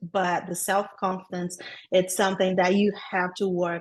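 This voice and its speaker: A woman speaks with a Brazilian accent. Her pace is moderate. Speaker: transaction coordinator. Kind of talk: podcast interview.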